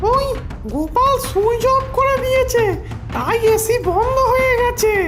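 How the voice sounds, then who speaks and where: A put-on character voice, squeaky and extremely high-pitched, moves at a fairly slow pace over loud music in the background. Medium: cartoon.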